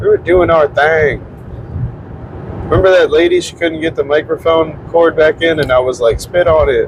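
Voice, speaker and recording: At a moderate pace, a man speaks with fairly even intonation and a fairly high pitch. Noticeable background noise is present. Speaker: podcast host and open mic comedian. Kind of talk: casual chat. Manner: soft-spoken.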